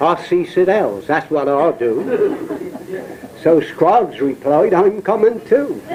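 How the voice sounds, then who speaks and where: A man with a Dorset accent speaks at a very slow pace and a high pitch, with very wide pitch swings. His loudness stays very even over noticeable background noise. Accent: Portland dialect, Dorset. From Isle of Portland, Dorset. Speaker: poet and raconteur. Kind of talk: poetry reading, dialect verse.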